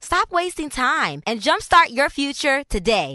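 A woman's raised, projected voice, high-pitched, with very wide pitch swings at a fairly slow pace. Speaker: voice actor. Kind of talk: radio commercial read.

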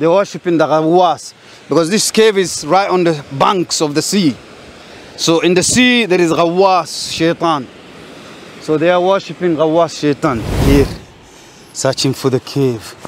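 A man's high-pitched voice at a moderate pace, with ordinary pitch variation, very even loudness, long frequent pauses, light background noise and a dry sound with no echo. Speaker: guide exploring a site. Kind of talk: walking commentary. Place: beach.

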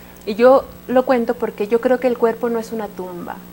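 A woman speaks over light background noise. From Mexico City. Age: 20s. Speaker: storyteller and poet. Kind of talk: TV interview with storytelling. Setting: live TV studio. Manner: expressive storytelling voice. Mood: warm, expressive, storytelling. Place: studio. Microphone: lapel.

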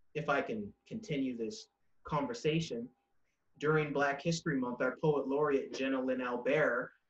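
A man speaks at a moderate pace. Room echo is audible over a quiet background. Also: fairly high pitch for a man, ordinary pitch variation. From Canada, New Brunswick. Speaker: spoken word poet; poet, interview guest. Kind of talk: interview. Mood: warm, smiling, animated. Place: home room. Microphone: webcam.

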